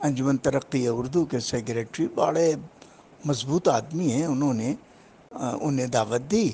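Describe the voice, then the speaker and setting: The man's voice sits at a fairly high pitch and carries a dark, mellow tone. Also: ordinary pitch variation. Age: 80s+. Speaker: Urdu literary scholar. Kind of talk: interview commentary.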